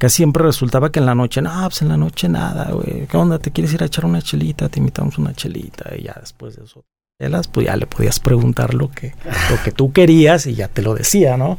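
A man with vocal fry and a medium pitch talks at a fairly quick pace, his pitch swinging very widely and his loudness shifting a lot. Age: 50s. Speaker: guitar technician. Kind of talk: casual chat.

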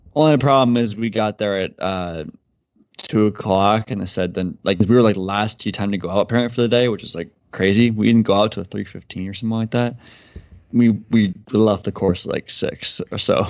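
In a plain, everyday voice, a man speaks at a fairly quick pace with a fairly low pitch and fairly even intonation against a quiet background. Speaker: podcast co-host. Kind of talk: casual chat.

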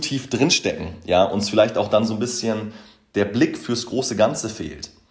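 A man's voice is heard. It has a somewhat breathy quality. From Hamburg, northern Germany. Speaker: podcast host, motivation coach. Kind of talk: solo podcast monologue.

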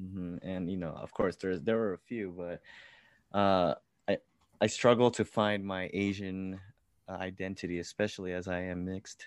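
In a quiet background with a dry, close sound and no echo, a man with a very deep, low pitch speaks at a moderate pace in a monotone, flat intonation. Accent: Californian. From US, California. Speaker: musician. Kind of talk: casual interview.

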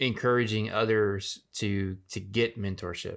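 In a very clean recording with a silent background, a man with a fairly low pitch speaks at a very slow pace with fairly even intonation. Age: 40s. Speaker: podcast host. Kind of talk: casual interview.

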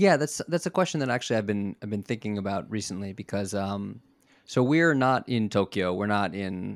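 A man with an American accent and an unremarkable speaking voice, fairly low in pitch, at a moderate pace, in a very clean recording with a silent background and a dry, close sound without echo. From US South Florida. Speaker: TV personality. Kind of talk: interview.

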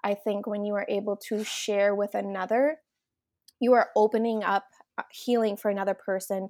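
A woman with a Minnesotan accent, dark and mellow in tone, with fairly even intonation and a dry, close sound with no echo. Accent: Minnesotan, noticeable. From Minnesota, US. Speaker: mom influencer, entrepreneur. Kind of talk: podcast interview, casual chat.

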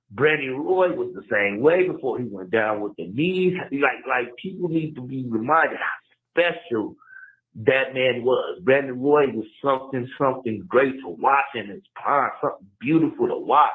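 This is a plain, everyday voice with lively intonation and big swings in loudness. It moves at a moderate pace. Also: man, fairly high pitch for a man. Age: 30s. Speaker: caller. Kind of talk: voicemail. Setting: phone voicemail.

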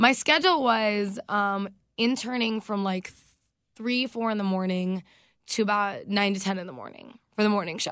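A woman speaks at a fairly slow pace with ordinary pitch variation. Her tone is animated. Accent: American. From US South, North Carolina. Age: 20s. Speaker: radio DJ. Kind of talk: casual chat.

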